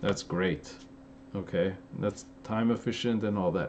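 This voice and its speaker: The speaker has an animated tone and keeps a moderate pace. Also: man. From Los Angeles, Armenian-American. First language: Armenian. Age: 30s. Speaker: fitness youtuber. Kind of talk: live stream Q&A. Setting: live stream. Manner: casual, animated.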